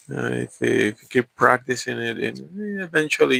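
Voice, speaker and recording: A man with a Spanish accent speaks at a very slow pace, the sound dry and close with no echo. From Mexico. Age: 40s. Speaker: vlogger. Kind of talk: casual chat. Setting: livestream. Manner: halting, many repeats and fillers.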